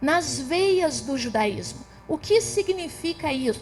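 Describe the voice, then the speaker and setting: A woman speaks at a fairly slow pace, her pitch swinging very widely, with music playing in the background. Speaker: theologian. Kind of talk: lecture.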